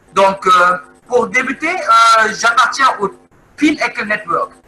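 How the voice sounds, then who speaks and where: Over background music, a man speaks in a raised, projected voice at an extremely high pitch. His pace is fairly slow, with ordinary pitch variation. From Congo. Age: 30s. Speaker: network marketing presenter. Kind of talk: sales pitch. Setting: video call. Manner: halting, many hesitations.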